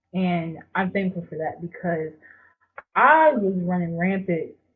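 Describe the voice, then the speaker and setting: Speaking at a fairly slow pace, a woman has an ordinary speaking voice. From rural North Carolina, Jacksonville. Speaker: graduate student. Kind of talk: casual interview conversation.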